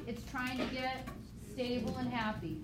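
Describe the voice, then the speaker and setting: There is audible room echo around a woman speaking in a high pitch. Her intonation stays fairly even at a moderate pace. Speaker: high school biology teacher. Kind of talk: classroom review lecture.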